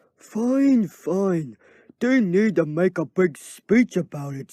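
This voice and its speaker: A gruff, put-on character voice at a middle pitch, delivered at a very slow pace over a quiet background. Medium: read story. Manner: sarcastic, impatient.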